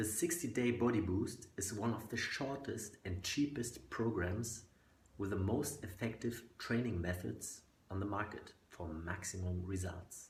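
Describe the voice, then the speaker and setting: A man speaks at a fairly slow pace with a German accent and ordinary pitch variation. Room echo is audible. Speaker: fitness coach. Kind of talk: sales pitch.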